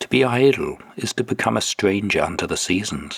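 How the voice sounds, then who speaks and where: A man speaks with a British accent at a fairly slow pace. The sound is dry and close, with no echo. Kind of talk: audiobook reading of spiritual prose.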